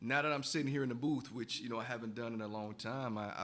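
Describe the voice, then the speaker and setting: A man talks at a fairly quick pace in a medium pitch with ordinary pitch variation. Room echo is audible. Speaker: radio host and coach. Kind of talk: radio talk segment. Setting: radio studio booth. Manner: fast.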